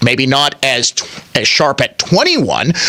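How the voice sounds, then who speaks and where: The voice has an animated tone and moves at a moderate pace. Noticeable background noise runs underneath. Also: man. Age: 40s. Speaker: talk radio host. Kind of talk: political talk radio monologue.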